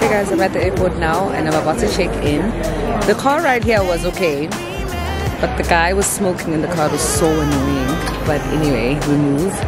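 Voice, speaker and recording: Loud music plays behind a woman speaking at a moderate pace, her voice dry with no echo. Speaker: travel vlogger. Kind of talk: casual vlog chat. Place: station. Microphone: phone near.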